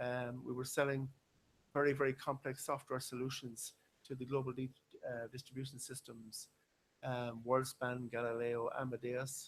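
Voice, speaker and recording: In an Irish accent, a man talks at a moderate pace and medium pitch with monotone, flat intonation. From western Ireland, Galway. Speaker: business consultant and engineer. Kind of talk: conference talk.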